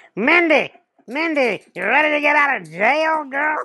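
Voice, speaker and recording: A high-pitched, put-on character voice. It moves at a moderate pace. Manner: teasing.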